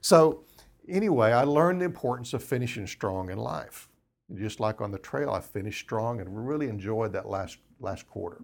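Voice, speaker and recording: At a medium pitch and moderate pace, a man with an unremarkable speaking voice uses lively intonation on a very clean recording with a silent background. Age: 60s. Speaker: business founder, lawn care entrepreneur. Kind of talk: interview, casual conversation.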